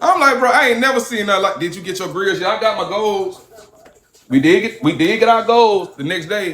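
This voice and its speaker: With noticeable background noise behind him, a man speaks in an animated tone at a fairly quick pace, his pitch high with ordinary variation. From Alabama. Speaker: livestreamer. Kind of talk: casual livestream storytelling.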